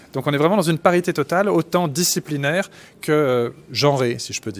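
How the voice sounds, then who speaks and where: Music plays in the background as a man talks at a fairly quick pace, with ordinary pitch variation, big swings in loudness and a dry, close sound with no echo. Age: 40s. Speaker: forensic doctor and anthropologist. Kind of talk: interview. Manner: halting, many fillers.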